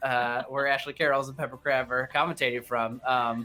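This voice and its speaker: A man speaks in a Midwestern accent at a medium pitch and a moderate pace. There is noticeable background noise behind him. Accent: Midwest. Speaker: video game race commentator. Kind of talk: live commentary. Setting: home studio. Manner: halting, many fillers.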